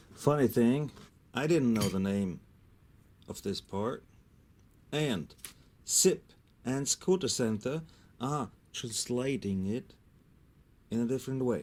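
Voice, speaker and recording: A man with a medium pitch speaks at a very slow pace, using lively intonation. Long pauses break up his speech often. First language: German. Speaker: scooter mechanic. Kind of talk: tutorial.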